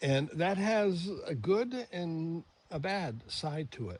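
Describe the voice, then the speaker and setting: A man speaks in a somewhat breathy voice. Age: 70s. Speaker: DIY product reviewer. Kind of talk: product review tutorial. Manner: casual, many fillers.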